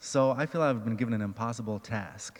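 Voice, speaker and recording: A soft-spoken man talks with a fairly low pitch. His intonation stays fairly even at a moderate pace. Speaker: restorative justice advocate, former prisoner. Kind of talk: personal testimony.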